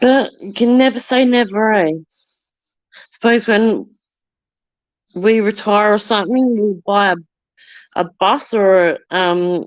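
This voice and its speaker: At a very slow pace with long, frequent pauses, a woman with an Australian accent speaks in a fairly high voice with ordinary pitch variation. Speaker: livestreamer. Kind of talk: casual chat. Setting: outdoors. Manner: loud.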